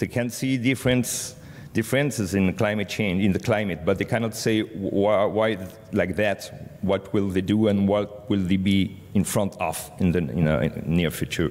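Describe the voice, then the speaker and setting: The speaker has a French accent and a moderate pace. Loudness stays very even, with ordinary pitch variation. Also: man, fairly low pitch for a man. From France. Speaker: media cooperation director. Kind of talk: conference presentation. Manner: halting, many fillers.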